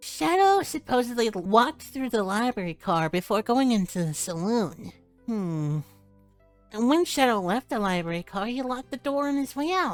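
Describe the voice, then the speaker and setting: A put-on character voice, female-sounding and fairly high-pitched for a woman, at a moderate pace over faint background music. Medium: game stream. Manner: measured, formal.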